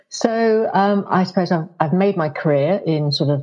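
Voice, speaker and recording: In a southern English accent, a woman talks at a moderate pace with ordinary pitch variation. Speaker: marketing executive. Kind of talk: casual interview.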